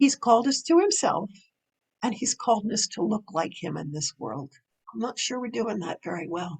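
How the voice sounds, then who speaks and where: Woman with a fairly high pitch, vocal fry, very wide pitch swings, big swings in loudness and a moderate pace, in a dry, close sound with no echo. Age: 70s. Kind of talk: interview.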